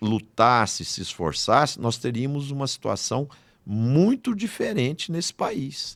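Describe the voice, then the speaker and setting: A man speaks fairly slowly at a fairly high pitch, with very wide pitch swings. The recording is very clean, with a silent background. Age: 70s. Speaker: agribusiness executive and speaker. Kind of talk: podcast interview. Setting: studio.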